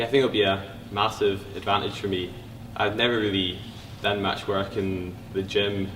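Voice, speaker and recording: A man's fairly low voice at a moderate pace, with audible room echo and noticeable background noise. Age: young. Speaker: university student athlete, mountain biker. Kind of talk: interview.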